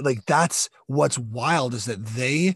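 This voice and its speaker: Lively intonation marks this man's medium-pitched voice, recorded with a dry, close sound and no echo. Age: 40s. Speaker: podcast host. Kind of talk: casual chat.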